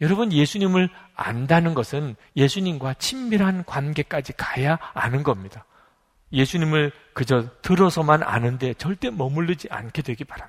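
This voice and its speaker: Somewhat breathy delivery at a moderate pace with lively intonation. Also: man, fairly high pitch for a man. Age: 50s. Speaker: pastor. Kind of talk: sermon.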